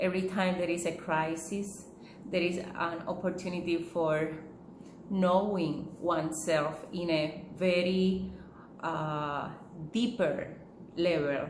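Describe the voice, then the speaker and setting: A woman with a strong Puerto Rican accent speaks very slowly at a fairly low pitch, with fairly even intonation and long, frequent pauses. Noticeable background noise and audible room echo surround her. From Puerto Rico. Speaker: holistic living teacher. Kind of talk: talk to camera. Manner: hesitant, many fillers.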